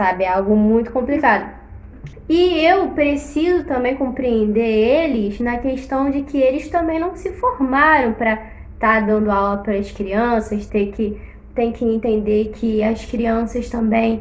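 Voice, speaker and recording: Very slowly and with lively intonation, a woman speaks at a fairly high pitch amid noticeable background noise and audible room echo. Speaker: teacher. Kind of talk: casual chat.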